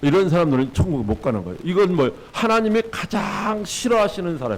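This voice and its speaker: A man talks at a fairly quick pace, his fairly high voice making very wide pitch swings. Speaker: pastor. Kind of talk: sermon.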